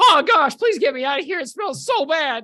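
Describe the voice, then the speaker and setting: A moderate pace carries this put-on character voice. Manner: pleading, disgusted.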